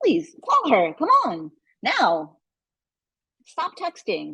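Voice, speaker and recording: A woman uses a put-on character voice. She speaks at a very slow pace. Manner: stern, firm, impatient.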